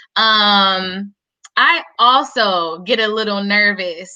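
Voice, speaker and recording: Loud and bright with a sharp tone, a woman speaks at a medium pitch with fairly even intonation. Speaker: van lifer panelist. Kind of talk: casual panel chat.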